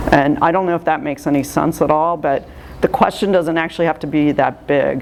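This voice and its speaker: Over noticeable background noise, a woman speaks in a very deep, low voice with ordinary pitch variation. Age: 60s. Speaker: art juror. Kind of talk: art critique talk. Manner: hesitant, many fillers.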